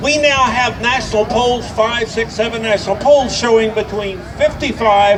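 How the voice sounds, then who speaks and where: The speech carries noticeable background noise and audible room echo. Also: man. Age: 70s. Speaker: activist attorney, speaker at a rally. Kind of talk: rally speech.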